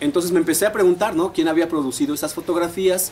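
A man talks very fast with a central Mexican accent and lively intonation. His pitch is fairly high, with light background noise behind him. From Mexico, Puebla state (San Martín Texmelucan); Puebla, Mexico. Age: 40s. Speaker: history graduate student; interviewee. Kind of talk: interview. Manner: conversational, with filler words. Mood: engaged storytelling. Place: garden.

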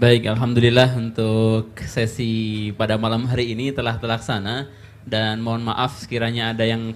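Light background noise sits behind a man talking at a medium pitch. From Central Java, Indonesia. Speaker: moderator and Islamic teacher; moderator, Islamic teacher. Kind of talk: event moderation. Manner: animated. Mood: polite, formal religious tone. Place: stage. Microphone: handheld.

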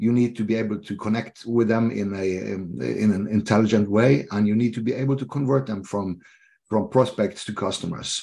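In a Norwegian accent, a man speaks at fairly low pitch with a dark, mellow tone, ordinary pitch variation and a fairly quick pace over a quiet background. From Norway. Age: 50s. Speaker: leadership coach. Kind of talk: interview. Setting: video call. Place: home room. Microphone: video call.

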